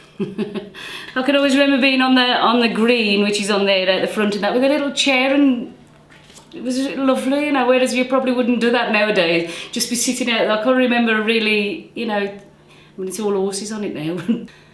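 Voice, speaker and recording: A woman's fairly quick speech with ordinary pitch variation, audible room echo and noticeable background noise. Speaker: local resident. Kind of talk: interview reminiscence.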